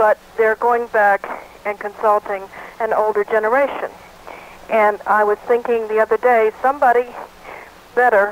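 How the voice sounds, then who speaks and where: A woman with a fairly high pitch, fairly slow pace and monotone, flat intonation over noticeable background noise. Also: dry, close sound with no echo. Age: 70s. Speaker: caller. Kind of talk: call-in comment.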